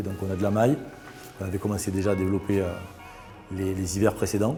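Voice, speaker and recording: With a southern French accent, a man speaks at a very fast pace against noticeable background noise. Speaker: brand co-founder and sales director. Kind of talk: corporate interview talk. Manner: hesitant, many fillers and repetitions.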